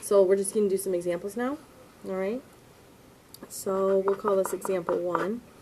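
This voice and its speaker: A woman at medium pitch and a fairly quick pace, over noticeable background noise. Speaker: math teacher. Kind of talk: lecture.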